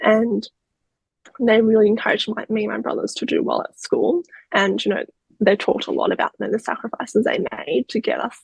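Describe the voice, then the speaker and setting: Speech with an Australian accent comes at a fairly quick pace, in a dry, close sound with no echo. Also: woman. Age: 30s. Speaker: crime survivor. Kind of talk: interview.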